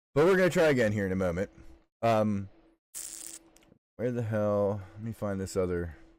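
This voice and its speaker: A man with a fairly low voice talks at a moderate pace with ordinary pitch variation and long, frequent pauses. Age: 40s. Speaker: video game streamer. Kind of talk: casual live gameplay chat. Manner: casual, profane.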